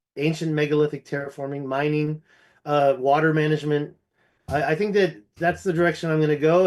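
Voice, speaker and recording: A normal speaking voice from a man with an American accent, fairly high pitch and a moderate pace. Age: 50s. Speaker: ancient history researcher. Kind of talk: casual chat.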